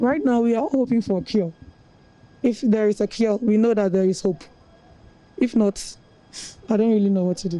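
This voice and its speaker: A woman with a Ghanaian accent speaks at a moderate pace with long, frequent pauses, her fairly high voice carrying a dark, mellow tone and ordinary pitch variation. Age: 20s. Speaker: national service worker. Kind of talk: news interview testimony.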